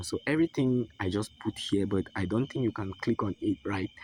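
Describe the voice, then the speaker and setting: A man with a non-native accent talks at a moderate pace and medium pitch, the sound dry and close with no echo. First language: not English. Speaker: forex trading mentor. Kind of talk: online lesson with sales pitch.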